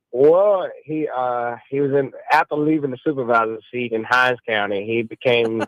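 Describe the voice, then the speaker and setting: A man in a Mississippi accent at medium pitch, moderate pace, ordinary pitch variation and hardly any pauses. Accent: US Southern (Mississippi). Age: 60s. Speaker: caller. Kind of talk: call-in radio chat. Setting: phone call. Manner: halting.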